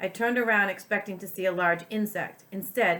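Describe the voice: Someone reads aloud. The reading is plain.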